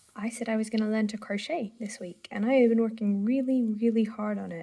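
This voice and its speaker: A woman with a British accent talks at a fairly quick pace in a fairly high, somewhat breathy voice. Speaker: craft vlogger. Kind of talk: casual vlog chat. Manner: hesitant with fillers.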